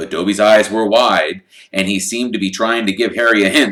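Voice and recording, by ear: Someone reads aloud in a natural voice while the intonation holds fairly even.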